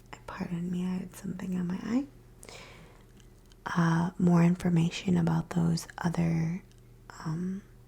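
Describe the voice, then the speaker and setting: Soft-spoken, the speaker goes at a fairly slow pace with long, frequent pauses. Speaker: reiki practitioner. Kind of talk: ASMR explanation.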